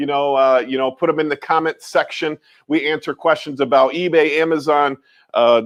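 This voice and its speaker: A man with an American accent and a normal speaking voice talks at a moderate pace, his pitch fairly high. His intonation is fairly even, and the sound is dry and close with no echo. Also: quiet background. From rural New York. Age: 50s. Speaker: resale store owner and livestreamer. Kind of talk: casual livestream chat. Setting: live stream from his store.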